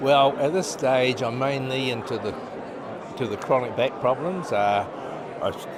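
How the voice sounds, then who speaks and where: With noticeable background noise and audible room echo, a man talks with ordinary pitch variation and long, frequent pauses. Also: medium pitch for a man, fairly slow pace. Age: 70s. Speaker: doctor. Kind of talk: interview. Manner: halting.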